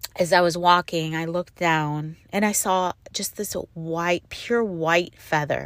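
A woman with a fairly low pitch speaks at a very slow pace with hardly any pauses and fairly even intonation, in a dry, close sound with no echo. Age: 50s. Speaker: faith podcast host, stay-at-home mom. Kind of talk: personal reflective monologue. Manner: halting, with fillers and restarts.

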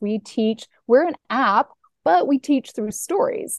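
With lively intonation and a normal speaking voice, a woman talks at a fairly slow pace in a dry, close recording with no echo and a quiet background. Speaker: app founder. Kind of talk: casual interview.

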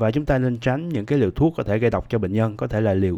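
A man's fairly low voice with a dark, mellow tone and ordinary pitch variation, in a very clean recording with a silent background. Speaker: podcast host teaching English vocabulary. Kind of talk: tutorial.

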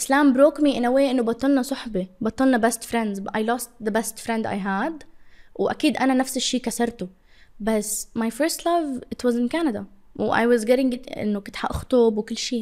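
The woman's voice sits high, and her pace is moderate. Her pitch moves in an ordinary way. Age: 20s. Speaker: social media influencer. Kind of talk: casual interview.

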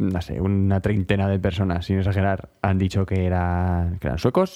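At a moderate pace, a man speaks in a very deep, low pitch with a dark, mellow tone and monotone, flat intonation. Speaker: music podcast co-host. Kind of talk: casual chat.

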